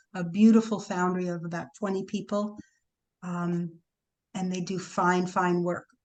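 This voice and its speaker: Her speech is monotone and flat, with an American accent. The woman keeps a moderate pace. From New York City. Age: 70s. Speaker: sculpture foundry artisan and archive founder. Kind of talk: interview Q&A. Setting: video call. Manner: casual, hesitant with fillers.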